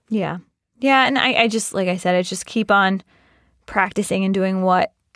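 In a General American accent, a woman with a plain, everyday voice speaks at medium pitch with ordinary pitch variation, in a dry, close sound with no echo, on a very clean recording with a silent background. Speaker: HR professional. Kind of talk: casual interview chat, reading letters aloud. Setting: studio.

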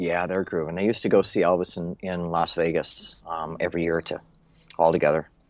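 Against a quiet background, a man with an American accent talks at a fairly quick pace in a very deep, low voice with flat, monotone intonation. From Minnesota. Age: 50s. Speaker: LinkedIn expert. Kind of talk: interview.

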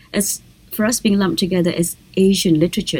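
A woman with an Indonesian accent, very fast pace and fairly even intonation. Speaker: novelist and poet. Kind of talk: interview.

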